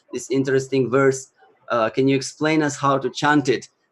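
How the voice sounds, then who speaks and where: A man speaks at a moderate pace in a fairly high pitch, with monotone, flat intonation. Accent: Russian. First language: Russian. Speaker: Sanskrit chanting teacher and musician. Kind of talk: interview talk / casual presentation. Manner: halting, many fillers.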